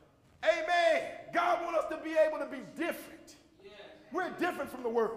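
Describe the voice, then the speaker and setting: Amid audible room echo, a man with an American accent sounds animated, speaking at a moderate pace with an extremely high pitch. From Joliet, Illinois. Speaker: preacher. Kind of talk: sermon.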